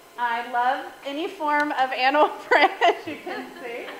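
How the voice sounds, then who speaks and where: High-pitched female speech at a very slow pace with very wide pitch swings, audible room echo and noticeable background noise. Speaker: guest speaker and podcaster. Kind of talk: talk to a women's group. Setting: stage with audience. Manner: animated.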